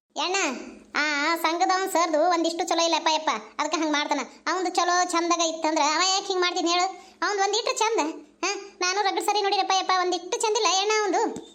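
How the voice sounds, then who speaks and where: Squeaky and extremely high-pitched, a woman's put-on character voice moves at a fairly quick pace with very even loudness. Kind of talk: village comedy sketch. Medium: comedy sketch. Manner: fast, chatty.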